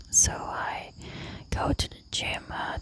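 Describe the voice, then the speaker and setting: A woman whispering over noticeable background noise. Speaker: ASMR creator. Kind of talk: ASMR nature walk vlog. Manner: whispered.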